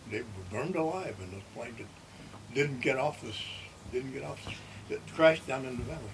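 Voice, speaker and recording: Lively intonation and big swings in loudness mark a man's medium-pitched voice over noticeable background noise. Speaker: World War II navy veteran. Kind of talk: interview answer.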